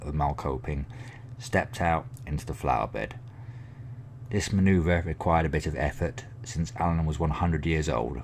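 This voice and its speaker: A man's very deep, low voice in an English accent, with lively intonation at a moderate pace. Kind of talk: ASMR book reading.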